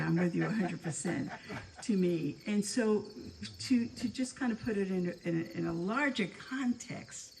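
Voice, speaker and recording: A woman at a moderate pace with an American accent, medium pitch, lively intonation and noticeable background noise. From New York City, the Bronx. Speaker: former community member speaking at anniversary gathering. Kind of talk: informal speech to a gathering. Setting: room with live audience. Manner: halting, with many repeated words.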